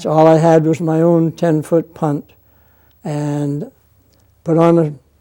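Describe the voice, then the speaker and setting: A dark, mellow tone with a Maine accent, fairly even intonation and a fairly slow pace. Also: man. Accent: Maine New England. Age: 80s+. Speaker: former lighthouse keeper. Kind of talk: interview answer.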